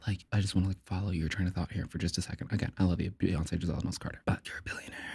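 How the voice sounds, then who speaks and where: Speaking at a very fast pace with an American accent, a man has a very deep, low, somewhat breathy voice. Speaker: podcaster. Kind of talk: casual monologue. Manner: animated.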